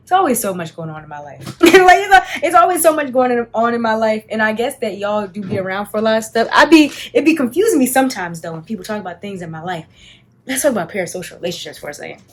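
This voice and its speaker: At a very fast pace, this somewhat breathy voice makes very wide pitch swings and big swings in loudness. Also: woman, fairly high pitch for a woman. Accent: American. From Washington DC, Southeast. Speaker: beauty content creator. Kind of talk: casual chat during makeup.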